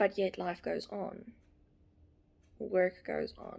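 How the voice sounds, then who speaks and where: A woman with a South African accent. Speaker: author. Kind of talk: casual talk to camera.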